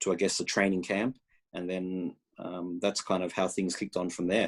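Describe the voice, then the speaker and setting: Speaking at a moderate pace in an Australian accent, a man with a very deep, low pitch keeps a flat monotone in a very clean recording with a silent background. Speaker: college soccer head coach. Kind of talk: interview answer at recruiting showcase. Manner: halting with many fillers and repetitions.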